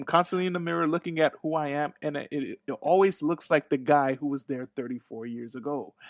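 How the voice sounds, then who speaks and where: An ordinary speaking voice, fairly quick with hardly any pauses and ordinary pitch variation, dry and close with no echo over a quiet background. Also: man, fairly high pitch for a man. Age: 30s. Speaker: podcast host. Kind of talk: casual interview chat.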